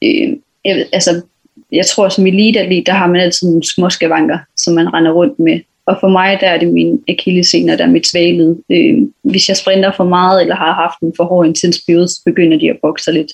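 With an ordinary speaking voice, a woman talks at a moderate pace and fairly low pitch, with ordinary pitch variation and very even loudness. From western Jutland, Denmark (Hvide Sande). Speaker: athlete (sprinter, hurdler). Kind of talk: interview.

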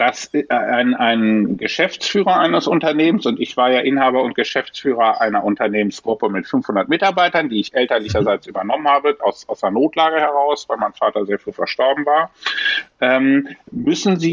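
Over noticeable background noise, the speaker moves at a moderate pace with very wide pitch swings. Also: man. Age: 50s. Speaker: management consultant and airline pilot. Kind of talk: interview. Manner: hesitant with frequent fillers.

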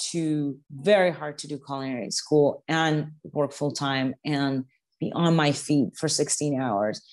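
With a Spanish accent, a woman speaks at a fairly slow pace in a very deep, low pitch over a quiet background. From Venezuela. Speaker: chef and TV host. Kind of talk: casual interview. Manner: halting, many repetitions.

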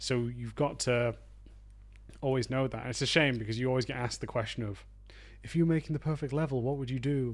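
Talking at a fairly quick pace yet with long, frequent pauses, a man with a Yorkshire accent keeps a medium pitch and fairly even intonation on a very clean recording with a silent background. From northern England, Harrogate, Yorkshire. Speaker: video game level designer and author. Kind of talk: interview.

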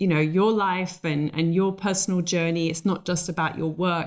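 An ordinary speaking voice from a woman, medium in pitch, with ordinary pitch variation. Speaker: podcast host and interior designer. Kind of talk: interview, conversational. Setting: recorded remotely over call.

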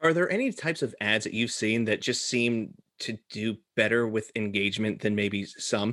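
A man with an American accent speaks at medium pitch and a moderate pace. His tone is bright and sharp, with ordinary pitch variation. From US, Florida. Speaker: podcast co-host. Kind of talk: casual chat.

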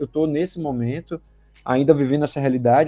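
Music plays in the background of a very fast delivery. The sound is dry and close, with no echo. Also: man. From Brazil, Bahia (Salvador). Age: 30s. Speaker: sales representative. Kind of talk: podcast interview.

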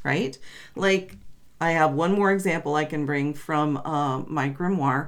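This woman has a very deep, low pitch, ordinary pitch variation and a fairly slow pace. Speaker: podcast co-host. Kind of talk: casual chat. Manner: bantering, overlapping.

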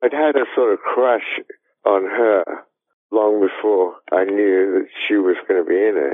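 In an Australian accent, the words come at a fairly slow tempo. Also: man. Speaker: screenwriter. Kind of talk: interview.

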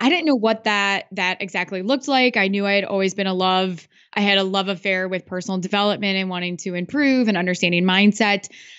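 In an American accent, a woman talks at a very fast pace with hardly any pauses. Her pitch is medium, with ordinary variation. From Iowa. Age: 30s. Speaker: podcaster and business coach. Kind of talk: interview.

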